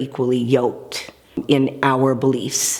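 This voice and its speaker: A woman with an American accent speaks in a very deep, low voice over noticeable background noise. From Seattle, Washington. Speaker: hairstylist. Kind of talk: personal faith testimony.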